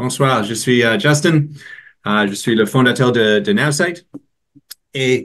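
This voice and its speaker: Here a man with an English accent speaks at a medium pitch. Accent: English-speaker's French, weak. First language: English (speaking French). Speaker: company founder. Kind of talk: product presentation. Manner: halting.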